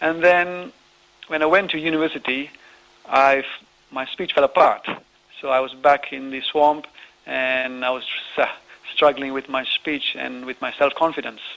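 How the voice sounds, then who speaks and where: A man speaks at a moderate pace in a fairly high voice with fairly even intonation, leaving long, frequent pauses. Noticeable background noise runs underneath. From raised in Nigeria, Sri Lanka and the Seychelles. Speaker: author and online entrepreneur. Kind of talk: radio interview.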